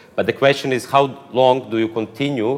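There is noticeable background noise behind this man. His intonation stays fairly even. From Croatia. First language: Croatian. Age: 30s. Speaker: philosopher and political activist. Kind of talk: interview.

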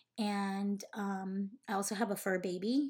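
A somewhat breathy woman at a medium pitch, on a very clean recording with a silent background. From northern Mexico (Sonora). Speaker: interior designer and podcast host. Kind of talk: casual monologue introduction. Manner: halting, many fillers.

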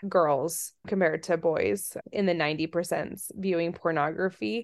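A woman with an American accent and an unremarkable speaking voice talks at a moderate pace with ordinary pitch variation. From Virginia/DC area, US, and Russia. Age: 30s. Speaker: researcher. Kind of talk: interview.

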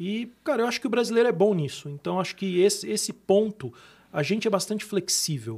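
Speaking at a fairly quick pace with lively intonation, a man is heard on a very clean recording with a silent background. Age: 40s. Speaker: tech company executive. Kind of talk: podcast interview.

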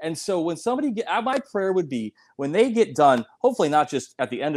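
A man with an American accent speaks at a high pitch with very wide pitch swings, captured on a very clean recording with a silent background and a dry, close sound with no echo. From US Midwest, South Dakota. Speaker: chiropractor and author. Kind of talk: interview.

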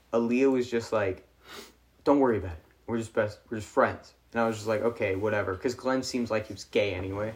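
A man talks at a fairly quick pace in a normal speaking voice of medium pitch, his intonation fairly even but his loudness swinging widely. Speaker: podcast co-host. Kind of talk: casual chat among friends.

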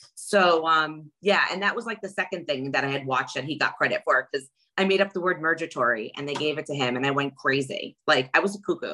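A woman with a New York accent talks at a fairly quick pace, her fairly low-pitched voice bright and sharp, animated in tone with lively intonation. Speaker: reality TV contestant. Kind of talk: casual interview.

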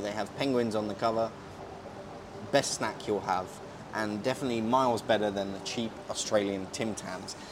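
Over noticeable background noise, a man with a British accent speaks at fairly low pitch and a moderate pace, with fairly even intonation. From Britain. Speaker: podcast host. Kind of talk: casual chat. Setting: outdoors by hotel pool. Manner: relaxed.

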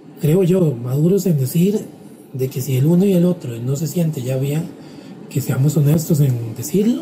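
The pitch varies in an ordinary way at a moderate pace. Noticeable background noise runs underneath. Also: man. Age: 30s. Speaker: podcast co-host. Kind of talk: casual chat. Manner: halting.

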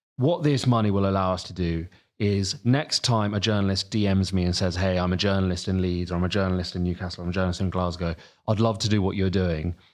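In a southern English accent, a man talks at a very fast pace with fairly even intonation. His pitch is very deep and low, and the background is quiet. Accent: southern English, noticeable. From Sussex, southern England. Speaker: newsletter editor and journalist. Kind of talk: casual interview chat.

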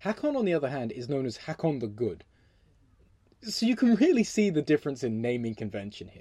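The delivery moves fairly quickly. A southern English accent shapes the words. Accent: English (southern England). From England. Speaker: history podcast host. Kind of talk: solo storytelling podcast. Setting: home recording, windows closed. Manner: animated.

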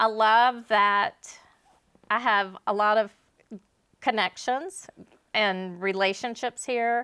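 Speaking in a Louisiana accent, a woman with a fairly high, bright, sharp voice talks very slowly with long, frequent pauses, fairly even intonation and very even loudness, in a dry, close sound with no echo. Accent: Louisiana Southern US. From Northwest Louisiana. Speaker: realtor. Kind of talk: casual chat.

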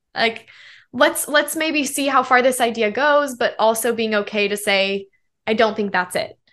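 With an American accent, a woman has a normal speaking voice, a fairly high pitch and a quiet background. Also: ordinary pitch variation, moderate pace. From Colorado. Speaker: pop singer-songwriter. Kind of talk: interview.

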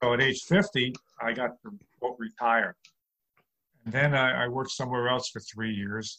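With a New York accent, a man talks at a moderate pace in a medium-pitched, bright, sharp tone, his pitch varying in an ordinary way, his loudness swinging widely, and his pauses long and frequent. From New York City. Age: 60s. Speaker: comedian. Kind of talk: interview.

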